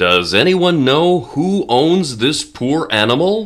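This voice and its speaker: A man's put-on character voice, fairly high in pitch, with very wide pitch swings at a fairly slow pace. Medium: read story. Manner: stern, authoritative.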